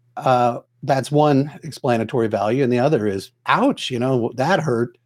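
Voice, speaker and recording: This man has an ordinary speaking voice. His pitch is medium, with ordinary pitch variation. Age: 60s. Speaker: entrepreneur. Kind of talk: casual chat.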